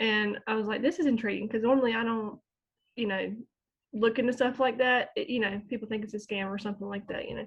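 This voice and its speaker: Speaking very fast in a Southern US accent, a woman with a fairly high, somewhat breathy voice keeps her intonation fairly even. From US South, North Carolina small town. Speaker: small online business owner, homeschooling mom. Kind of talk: interview testimony.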